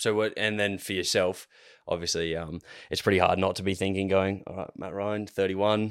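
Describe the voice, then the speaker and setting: The recording is very clean, with a silent background. A man with an Australian accent talks at a moderate pace in a fairly low, monotone, flat voice. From Australia, Adelaide. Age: 20s. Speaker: podcast host. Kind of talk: casual chat.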